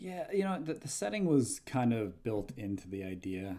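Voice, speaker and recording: A man's dark, mellow voice with lively intonation and an American accent. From New Jersey. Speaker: comic book writer. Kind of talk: casual interview.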